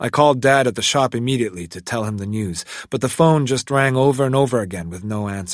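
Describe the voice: The delivery is plain reading aloud, and the pitch varies in an ordinary way.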